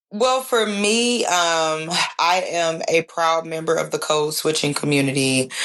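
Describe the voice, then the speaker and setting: With a Southern accent, a woman speaks at a fairly slow pace in a fairly low pitch, her intonation lively and her loudness very even. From US South, Nashville, Tennessee. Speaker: student journalist. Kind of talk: podcast interview. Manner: animated.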